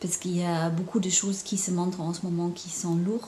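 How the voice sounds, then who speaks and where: Someone with a slight German accent speaks over noticeable background noise. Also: woman. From Germany. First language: German (speaking French). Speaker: intuitive painter and spiritual counselor. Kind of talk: casual vlog monologue. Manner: halting, many hesitations.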